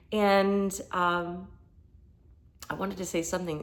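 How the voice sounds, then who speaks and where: The pace of this woman's speech is fairly slow. Her voice holds a medium pitch. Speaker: yoga and meditation teacher. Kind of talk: casual talk before guided meditation. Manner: hesitant, many fillers.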